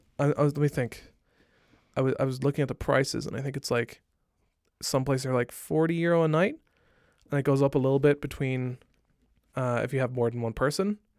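A man with an Irish accent speaks at a very fast pace in a fairly high pitch, his intonation fairly even and his pauses long and frequent. The recording is very clean with a silent background, and the sound is dry and close with no echo. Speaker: gaming podcast co-host. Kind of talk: casual chat.

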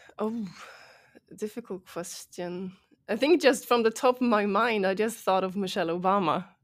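A woman with a Swedish accent, medium in pitch with ordinary pitch variation, at a moderate pace, on a very clean recording with a silent background. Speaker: startup founder and CEO. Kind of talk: interview. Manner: hesitant, many fillers.

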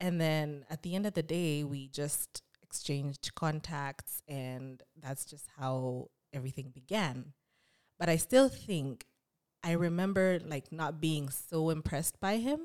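A woman speaks at a fairly slow pace with a very deep, low pitch and ordinary pitch variation. The recording is very clean with a silent background, and the sound is dry and close with no echo. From Kenya. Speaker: podcast guest sharing relationship story. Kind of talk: personal storytelling interview.

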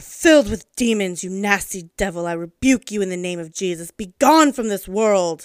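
Shouting in a put-on character voice at a moderate pace, the speaker uses lively intonation and big swings in loudness. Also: woman, medium pitch for a woman. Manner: hateful, shouting.

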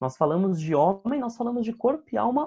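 A man's voice carries a dark, mellow tone. His intonation is lively. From Brazil, São Bernardo do Campo (São Paulo ABC region). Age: 20s. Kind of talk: interview. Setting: video call.

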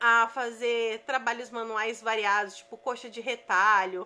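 Speaking very slowly at a fairly high pitch with fairly even intonation, a woman is heard in a very clean recording over a silent background. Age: 30s. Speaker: digital business coach. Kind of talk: podcast monologue from a live stream. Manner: conversational, with fillers.

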